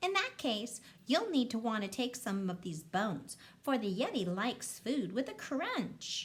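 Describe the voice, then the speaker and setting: A woman doing a put-on character voice at a fairly high pitch. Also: moderate pace. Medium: read story. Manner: indignant, growly.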